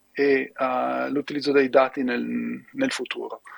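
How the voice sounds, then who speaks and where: Dry and close with no echo, the sound carries a man's voice. He speaks at a very slow pace. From Italy. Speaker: university professor and researcher. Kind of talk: remote lecture presentation. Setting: video call from the US. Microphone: strong echo in headphones.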